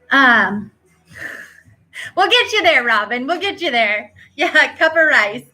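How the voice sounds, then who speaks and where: A woman's high, raised and projected voice with very wide pitch swings, a fairly slow pace and long, frequent pauses. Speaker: fitness coach. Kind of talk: live Q&A stream. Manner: animated.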